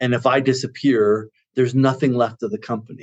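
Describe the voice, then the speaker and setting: A man talks at a moderate pace in an ordinary speaking voice. His medium pitch shows ordinary pitch variation. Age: 60s. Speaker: consultancy CEO. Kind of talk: interview.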